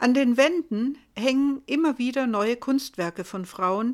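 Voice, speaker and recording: The recording is very clean with a silent background. A woman talks at a fairly slow pace in a high pitch. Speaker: podcast host. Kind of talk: scripted narration.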